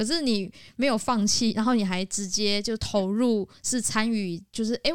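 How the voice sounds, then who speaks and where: A normal speaking voice from a woman, medium in pitch, at a moderate pace in a very clean recording with a silent background. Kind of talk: casual chat, podcast interview.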